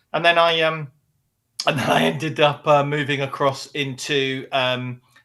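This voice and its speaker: A man's fairly high-pitched voice with an English accent, at a moderate pace. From English Midlands. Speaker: business executive. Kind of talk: interview. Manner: energetic.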